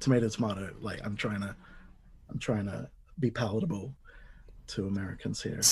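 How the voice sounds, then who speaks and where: With vocal fry and ordinary pitch variation, the speaker moves at a fairly quick pace between long, frequent pauses. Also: man, fairly low pitch for a man. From Australia, lower North Shore of Sydney. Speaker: podcast host and DJ. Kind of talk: casual chat.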